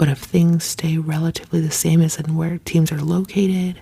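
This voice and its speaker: A woman whispering over noticeable background noise. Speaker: ASMR creator. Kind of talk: ASMR chit chat. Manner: whispered.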